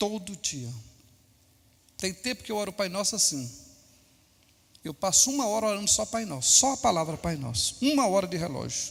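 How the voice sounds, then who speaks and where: Very wide pitch swings at a moderate pace, broken by long, frequent pauses. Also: man, high pitch for a man. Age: 60s. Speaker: pastor. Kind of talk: sermon.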